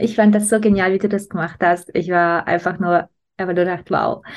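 A woman speaks at a moderate pace in a plain, everyday voice. Her pitch sits in the medium range, with fairly even intonation. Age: 30s. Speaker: business coach and podcast host. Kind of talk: interview.

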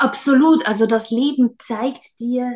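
A woman's high-pitched voice, dark and mellow in tone, with ordinary pitch variation. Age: 30s. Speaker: schoolteacher and former stage actress and singer. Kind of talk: casual interview.

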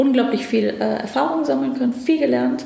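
A woman with a fairly high pitch speaks over noticeable background noise, and the room echo is audible. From Afghanistan, moved to Germany as a child. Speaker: government ministry department head. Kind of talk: interview. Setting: ministry office.

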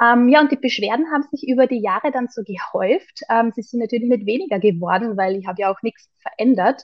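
A woman with a normal speaking voice and a fairly high pitch talks with lively intonation and hardly any pauses. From Austria, Carinthia. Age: 30s. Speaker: holistic health coach. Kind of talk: interview conversation.

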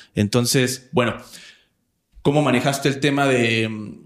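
A man speaks with a Mexican accent. The recording is very clean, with a silent background. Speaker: podcast host. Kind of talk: casual interview.

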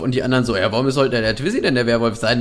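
Speaking in an animated tone, a man moves at a very fast pace. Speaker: podcast co-host. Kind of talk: casual chat.

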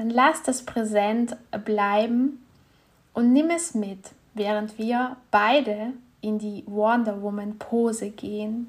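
Very slowly and with fairly even intonation, a woman speaks at a fairly high pitch in a calm, soothing, somewhat breathy tone. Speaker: meditation guide and women's health coach. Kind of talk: guided meditation. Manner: calm, slow, soothing, gentle; warm, intimate, encouraging.

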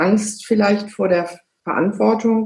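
In a room with audible echo, a woman speaks at a fairly slow pace with a medium pitch. Her voice is somewhat breathy and her intonation fairly even. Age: 50s. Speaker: car dealership managing director. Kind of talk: interview. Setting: video call.

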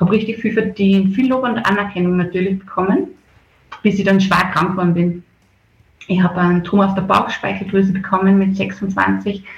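A woman speaks at a medium pitch in a flat monotone, her loudness very even. Her voice is somewhat breathy. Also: moderate pace. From Upper Austria, rural (Bad Schallerbach area). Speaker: festival organizer. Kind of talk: radio interview. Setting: video call.

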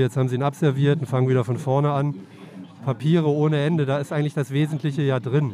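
A man with a medium-pitched voice talks at a very fast pace, his intonation fairly even. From Cologne, western Germany. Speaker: newspaper editor-in-chief. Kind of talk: casual interview. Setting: on a moving S-Bahn train.

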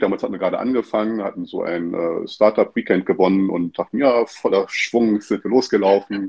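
Here a man with an ordinary speaking voice talks at a fairly quick pace with fairly even intonation. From northeastern Germany (Stralsund, former GDR). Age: 40s. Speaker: consultant and educator. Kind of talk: casual interview.

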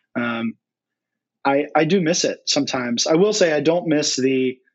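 Speaking at a fairly slow pace, a man has a normal speaking voice with a fairly high pitch. His pitch varies in an ordinary way. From North Carolina. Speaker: brewery education director. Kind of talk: casual interview chat. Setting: remote call.

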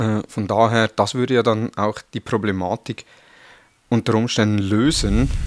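In a Swiss German accent, a man with a fairly low voice speaks with fairly even intonation, the sound dry and close with no echo. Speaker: podcast host. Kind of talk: interview.

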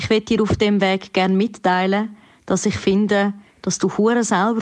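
A woman speaks with a Zurich accent at a moderate pace. Her medium-pitched voice stays monotone and flat. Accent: Zurich Swiss German dialect. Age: 20s. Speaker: musician, slam poet and cabaret artist. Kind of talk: recorded voice message.

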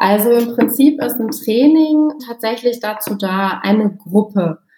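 A woman talks at a very slow pace in a dark, mellow, somewhat breathy tone. Her intonation is lively. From Germany, Osnabrück. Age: 40s. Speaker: intercultural trainer and coach. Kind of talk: expert interview.

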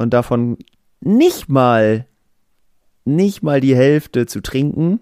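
A man's very slow speech, dry and close with no echo, in a very clean recording with a silent background. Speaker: sports podcast co-host. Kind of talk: casual chat.

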